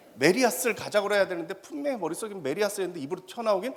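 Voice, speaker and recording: A man with a high pitch talks at a very fast pace in an animated tone over noticeable background noise. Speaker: professor. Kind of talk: lecture. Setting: stage with audience.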